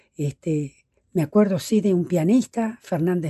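A woman's dark, mellow tone at a fairly low pitch, ordinary pitch variation and a very slow pace. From La Pampa, Argentina. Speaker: folk singer. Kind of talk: interview. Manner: halting, many repetitions.

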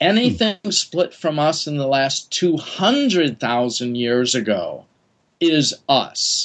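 A man with an American accent speaks at a very slow pace. His fairly high voice moves through very wide pitch swings. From US Midwest (Wisconsin). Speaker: geneticist. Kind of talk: casual chat.

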